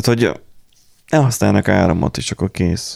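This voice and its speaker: A man's voice has vocal fry, heard with a dry, close sound and no echo. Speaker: podcast host. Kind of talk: casual chat.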